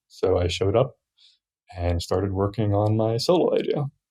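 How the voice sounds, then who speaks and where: This man's voice has a dark, mellow tone and sits at a medium pitch. His pitch varies in an ordinary way. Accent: American. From US, Virginia. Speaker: software developer. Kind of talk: casual chat.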